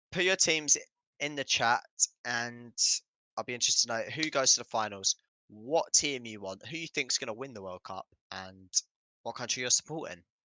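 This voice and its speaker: In a British accent, a man with a medium-pitched, bright and sharp voice speaks at a moderate pace with lively intonation, big swings in loudness and long, frequent pauses, recorded dry and close with no echo in a very clean, silent setting. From Britain. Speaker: football watchalong streamer. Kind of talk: live commentary. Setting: live stream. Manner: casual, chatty.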